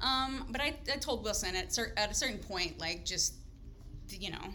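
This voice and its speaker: A woman with an American accent talks with ordinary pitch variation, while audible room echo and noticeable background noise fill the recording. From Oklahoma, small rural town. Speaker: podcast guest. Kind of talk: casual chat.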